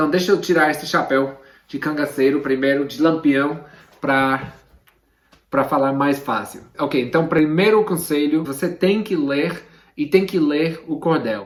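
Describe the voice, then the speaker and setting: A man's fairly high pitch with an English accent, fairly slow pace and ordinary pitch variation. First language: English (speaking Portuguese). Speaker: literature teacher. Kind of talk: tutorial. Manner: casual, direct to camera.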